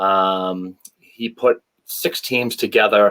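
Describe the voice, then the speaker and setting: A man with a Boston accent and a fairly low voice, in a dry, close sound with no echo and a very clean recording with a silent background. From New England (Boston area). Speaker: former hockey enforcer. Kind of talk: interview.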